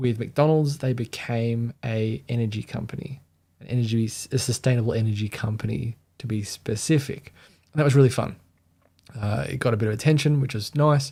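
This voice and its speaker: A somewhat breathy, dark and mellow voice in an Australian accent, at a fairly quick pace with ordinary pitch variation, on a very clean recording with a silent background. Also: man, medium pitch for a man. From Australia (Sydney). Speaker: brand identity designer. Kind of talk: livestream commentary. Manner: casual, conversational.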